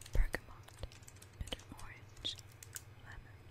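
Whispering at a very slow pace, a woman speaks. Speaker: ASMR creator. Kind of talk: ASMR perfume review, soft-spoken to camera. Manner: whispered, soft-spoken. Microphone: studio mic.

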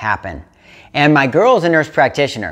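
The background stays quiet as a man speaks. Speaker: fitness coach. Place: home room. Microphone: lapel.

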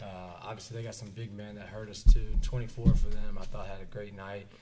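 Fairly quick speech from a man, somewhat breathy. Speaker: college basketball head coach. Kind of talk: post-game press conference. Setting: press conference. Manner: repetitive, filler-heavy, with frequent restarts. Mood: pleased after a win. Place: meeting room. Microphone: podium.

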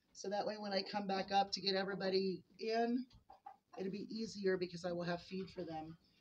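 A woman with a medium-pitched, somewhat breathy voice talks at a fairly quick pace with fairly even intonation. Light background noise can be heard. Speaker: homesteader vlogger. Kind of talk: casual vlog monologue. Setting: in a barn. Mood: chatty, amused. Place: farm machine. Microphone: phone near.

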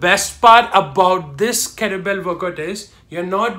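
A man speaks in a raised, projected voice with a bright, sharp tone. His pitch varies in an ordinary way. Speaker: fitness trainer. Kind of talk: fitness video intro. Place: home room. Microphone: phone near.

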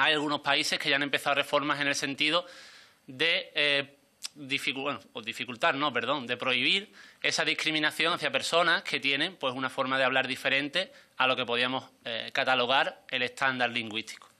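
With an Andalusian accent, a man speaks at a fairly high pitch in a bright, sharp tone. His pace is moderate and his intonation fairly even. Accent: southern Spanish (Andalusian). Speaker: member of parliament. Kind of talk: parliamentary speech. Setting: parliamentary committee. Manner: formal. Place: meeting room. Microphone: podium.

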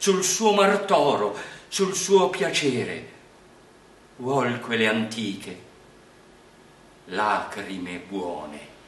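A man talks at a very slow pace with long, frequent pauses and very wide pitch swings. Room echo is audible. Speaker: poetry reader. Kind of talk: poetry reading. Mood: calm, warm, expressive.

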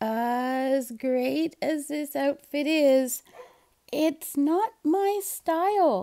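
A woman puts on a squeaky character voice at a high pitch. She speaks at a very slow pace. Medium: read story.

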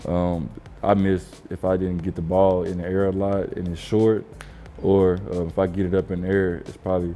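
Over music in the background, a man with a very deep, low pitch speaks at a moderate pace in a monotone, flat intonation. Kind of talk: interview answer, commentary on footage. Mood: calm, reflective. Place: home room.

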